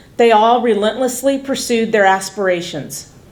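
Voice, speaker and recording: A woman speaks at a moderate pace with a fairly high voice. Her intonation is lively. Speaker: college department chair. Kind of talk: formal welcome speech. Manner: loud.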